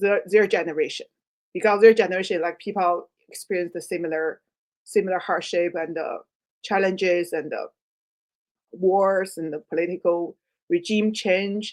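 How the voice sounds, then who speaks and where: Her intonation fairly even, a woman with a medium pitch speaks at a moderate pace, her loudness swinging widely and her speech broken by long, frequent pauses. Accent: Chinese. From China. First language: Chinese. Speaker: writer. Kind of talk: interview. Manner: halting.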